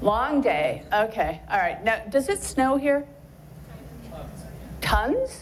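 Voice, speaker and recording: A woman speaks with long, frequent pauses, amid audible room echo and noticeable background noise. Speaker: journalism professor and author. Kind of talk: public lecture. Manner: loud.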